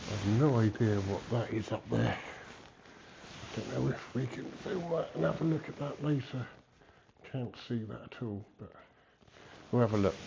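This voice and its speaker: A man speaks fairly slowly at medium pitch with lively intonation. Audible room echo can be heard. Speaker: travel vlogger. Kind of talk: walking tour vlog. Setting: inside a church. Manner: hesitant, many ums.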